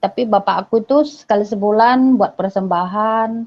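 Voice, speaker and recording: At a moderate pace, a woman talks. Her pitch variation is ordinary. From Batak, North Sumatra, Indonesia. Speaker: religious convert. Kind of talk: testimony.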